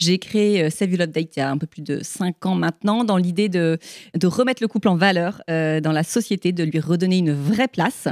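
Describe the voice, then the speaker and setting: A woman with a normal speaking voice, pitched fairly low, talks at a fairly quick pace with ordinary pitch variation. The recording is very clean and dry, close-miked with no echo and a silent background. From southern France, Toulon. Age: 40s. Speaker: podcast host. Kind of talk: live interview. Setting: stage with audience.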